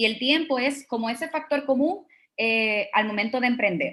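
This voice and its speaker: A woman speaks in a normal speaking voice with a fairly high pitch. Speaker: startup co-founder. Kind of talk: conference talk.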